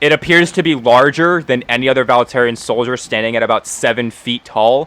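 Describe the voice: Someone reads aloud plainly. The delivery is plain reading aloud.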